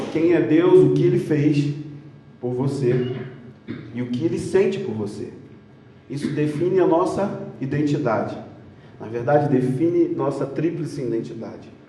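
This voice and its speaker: Amid noticeable background noise and audible room echo, a man with a fairly high pitch speaks at a fairly slow pace with long, frequent pauses. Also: ordinary pitch variation. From Rio de Janeiro, Brazil. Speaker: conference speaker. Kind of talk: sermon. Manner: animated.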